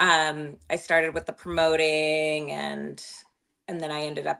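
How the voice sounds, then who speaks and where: The speaker has an American accent and talks at a very slow pace. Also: woman. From California, San Jose area. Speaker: former club promoter and bottle server. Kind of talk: casual chat.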